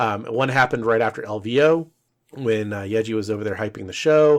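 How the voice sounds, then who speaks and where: Speaking at a fairly quick pace, a man talks in a fairly low voice. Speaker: podcast co-host. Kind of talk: casual chat. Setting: podcast recording. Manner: talkative, chatty.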